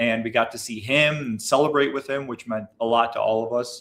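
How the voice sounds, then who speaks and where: A man speaks at a moderate pace. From US Midwest, Chicago area. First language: Bulgarian. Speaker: business owner. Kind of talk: livestream interview conversation. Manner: animated, with frequent repetitions.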